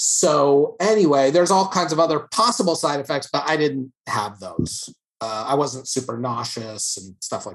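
With an American accent, a man talks in an ordinary speaking voice at a moderate pace and fairly high pitch, with lively intonation, big swings in loudness and hardly any pauses. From New York City. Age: 50s. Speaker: artist and cancer survivor. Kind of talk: casual chat. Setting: video call.

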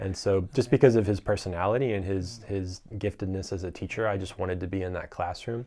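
A dark, mellow tone with fairly even intonation, a very fast pace and hardly any pauses, in a very clean recording over a silent background. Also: man, fairly low pitch for a man. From US South, North Carolina. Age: 20s. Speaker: filmmaker and entrepreneur. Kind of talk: casual interview.

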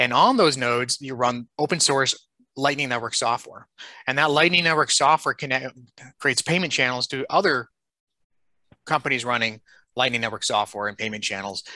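Recorded with a dry, close sound and no echo, a man talks at a fairly quick pace, medium in pitch with ordinary pitch variation. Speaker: tech company CEO. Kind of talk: interview. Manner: fast.

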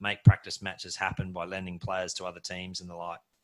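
A man with a very deep, low voice and an Australian accent, on a very clean recording with a silent background. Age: 40s. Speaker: podcast host. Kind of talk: interview.

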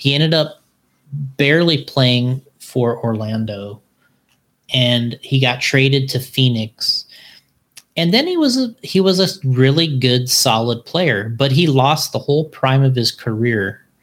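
A man speaks in a plain, everyday voice at medium pitch with ordinary pitch variation. His pace is fairly slow and his loudness very even. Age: 40s. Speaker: RC car racing company owner. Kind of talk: casual chat. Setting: live-streamed video podcast recorded at work.

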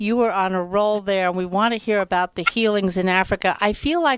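A woman speaks at medium pitch and a moderate pace, with fairly even intonation. Hers is a plain, everyday voice, set against a quiet background. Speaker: radio host. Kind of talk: radio show introduction.

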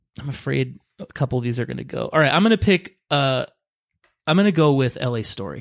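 An ordinary speaking voice from a man with an American accent, fairly high in pitch, fairly quick and lively in intonation, with a dry, close sound and no echo. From Los Angeles. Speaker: guest co-player in movie draft. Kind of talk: casual chat, game-style banter.

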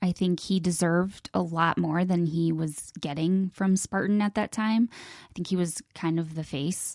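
The sound is dry and close with no echo, against a quiet background. A woman speaks at a moderate pace with fairly low pitch and fairly even intonation. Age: 30s. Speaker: wife of the show's co-host. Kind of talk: casual interview.

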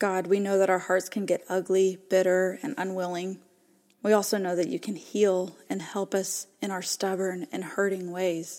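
Speaking at a moderate pace in a flat monotone, a woman with a dark, mellow tone and medium pitch is heard on a very clean recording against a silent background. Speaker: podcast host. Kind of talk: guided prayer.

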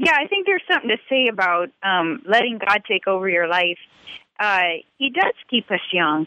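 Here a woman is speaking. Her pace is moderate. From Louisiana (Cajun). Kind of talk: radio interview. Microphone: connection dropping.

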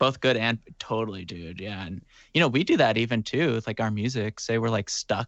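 At a moderate pace, a man talks in a medium pitch with ordinary pitch variation. His is an unremarkable speaking voice. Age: 20s. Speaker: musician. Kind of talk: casual interview chat.

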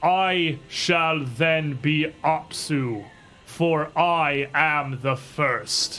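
A man uses a booming, put-on character voice at a fairly high pitch. He speaks at a very slow pace. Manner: commanding.

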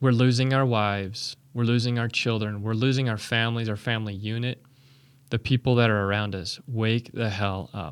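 A man with a plain, everyday voice speaks at a moderate pace and medium pitch with fairly even intonation. The recording is very clean, with a silent background. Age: 40s. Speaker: divorced single church member, army veteran. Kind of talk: casual interview.

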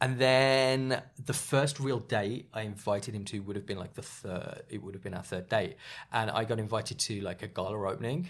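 Using ordinary pitch variation, a man with an English accent speaks at a moderate pace. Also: medium pitch for a man. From England, small town. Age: 30s. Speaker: podcast guest. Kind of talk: casual chat. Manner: animated.

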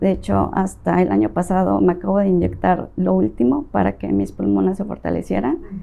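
The speech runs at a fairly quick pace. There are hardly any pauses. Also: woman. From Mexico, Veracruz and Tabasco. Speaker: real estate agent. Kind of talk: interview.

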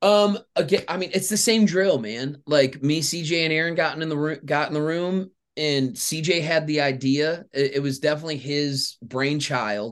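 Speaking in an ordinary speaking voice with an American accent, a man keeps a fairly high pitch, ordinary pitch variation and a moderate pace. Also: hardly any pauses. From Michigan, Grand Rapids area. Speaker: songwriter and artist. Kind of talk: casual interview chat.

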